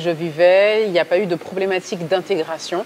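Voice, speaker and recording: This woman speaks at a fairly low pitch. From mainland France. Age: 30s. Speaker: communications agency director. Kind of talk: interview. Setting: on location at a digital event venue. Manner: hesitant, many fillers.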